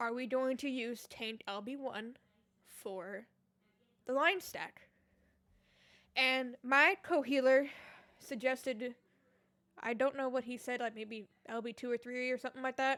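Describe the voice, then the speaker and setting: Speaking at a fairly slow pace with long, frequent pauses, a woman has a high pitch, a bright, sharp tone and fairly even intonation. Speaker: gaming streamer. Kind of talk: story time monologue. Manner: casual, rambling with fillers.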